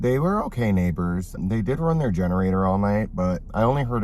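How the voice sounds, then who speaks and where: A man talks at a fairly quick pace with ordinary pitch variation, and the room echo is audible. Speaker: solo car camping vlogger. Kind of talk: casual vlog talk to camera. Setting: outdoors at a campsite and inside a car.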